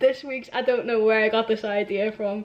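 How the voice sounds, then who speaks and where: A woman with a Liverpool accent talks at a moderate pace, her fairly high voice keeping fairly even intonation. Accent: Scouse. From Liverpool, England. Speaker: musician. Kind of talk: casual vlog chat. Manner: hesitant, many fillers.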